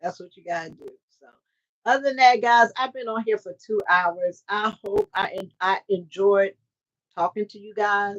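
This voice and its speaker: A woman speaks with a Southern US accent and big swings in loudness. The sound is dry and close, with no echo. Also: medium pitch for a woman, moderate pace. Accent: Southern, country. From US South, Mississippi. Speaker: trucking recruiter and carrier owner. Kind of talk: livestream talk. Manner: animated.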